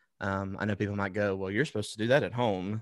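A man's fairly low voice with an Alabama accent, on a very clean recording with a silent background. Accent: US Southern (Alabama). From Alabama (Wetumpka, near Montgomery). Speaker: worship pastor. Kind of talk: interview.

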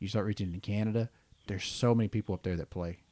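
A man with a normal speaking voice, fairly low in pitch and fairly even in intonation, recorded very cleanly against a silent background with a dry, close sound and no echo. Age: 40s. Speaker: podcast host. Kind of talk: casual chat.

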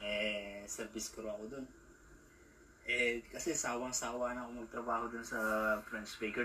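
A man at medium pitch and moderate pace, with noticeable background noise and audible room echo. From Philippines. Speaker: vlogger. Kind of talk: casual vlog monologue. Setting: outdoors in a park. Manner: halting.

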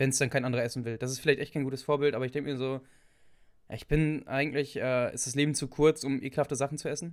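At a very fast pace, a man talks in a fairly high pitch with monotone, flat intonation. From northwestern Germany. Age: young. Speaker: podcast co-host. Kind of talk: casual chat.

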